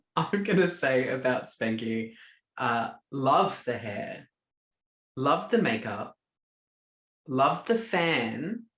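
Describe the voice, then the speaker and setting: Someone with an Australian accent speaks very slowly, leaving long, frequent pauses. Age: 30s. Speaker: podcast co-host. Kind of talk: casual chat.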